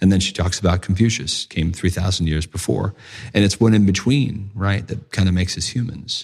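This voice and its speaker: Somewhat breathy and with an American accent, this voice moves at a fairly quick pace with ordinary pitch variation. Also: man, fairly low pitch for a man. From United States. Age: 50s. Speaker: ethics of technology advocate. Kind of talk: casual conversation. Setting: in-person in a library-like room.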